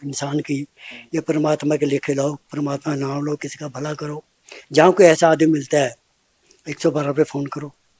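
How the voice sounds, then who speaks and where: Man with a fairly high pitch and a dark, mellow tone in a dry, close sound with no echo. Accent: Punjabi. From Punjab, India (Patiala district). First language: Punjabi (speaking Hindi). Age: 70s. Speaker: old age home resident, social worker. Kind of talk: interview.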